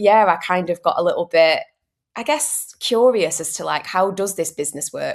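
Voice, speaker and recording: With a Manchester accent, a woman speaks with ordinary pitch variation. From northern England, Manchester. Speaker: mindset consultant, former airline cabin crew. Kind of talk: podcast interview.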